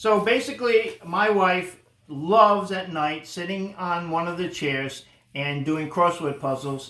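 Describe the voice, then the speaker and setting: With audible room echo, a man speaks in a high voice at a fairly slow pace, with ordinary pitch variation. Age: 60s. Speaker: vlogger's father. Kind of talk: casual chat.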